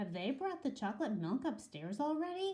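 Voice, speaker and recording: Very wide pitch swings mark this put-on character voice, delivered at a moderate pace. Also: woman. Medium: read story.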